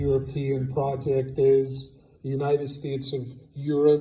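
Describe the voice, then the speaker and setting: Amid noticeable background noise and audible room echo, a man talks at a fairly slow pace with a fairly high pitch. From Ireland. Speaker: preacher. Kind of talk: sermon.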